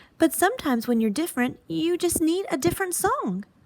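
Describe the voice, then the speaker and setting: A woman puts on a squeaky character voice with an extremely high pitch and very wide pitch swings, speaking at a fairly quick pace. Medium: read story.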